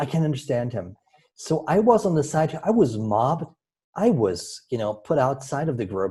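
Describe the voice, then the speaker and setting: A man's somewhat breathy voice carries a dark, mellow tone at a moderate pace. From Germany. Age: 50s. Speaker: storytelling coach. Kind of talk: interview. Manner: halting.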